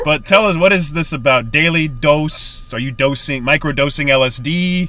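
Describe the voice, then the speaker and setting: Over music in the background, a man with a fairly high pitch speaks at a moderate pace. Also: ordinary pitch variation. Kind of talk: podcast host interview. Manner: jokey, casual.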